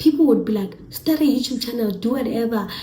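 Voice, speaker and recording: With ordinary pitch variation, a woman talks amid audible room echo. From South Africa, Eastern Cape. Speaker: YouTuber. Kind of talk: casual vlog talk to camera.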